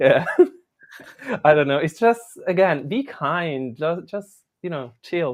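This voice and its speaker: The speaker has a non-native accent and talks at a very slow pace. Long pauses come often. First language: not English. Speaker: dancer. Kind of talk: casual chat on a live podcast.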